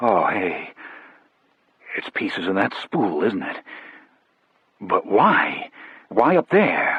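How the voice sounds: In a put-on character voice, a man at a medium pitch speaks very slowly with long, frequent pauses, sounding nervous and shaky in a dry, close sound with no echo.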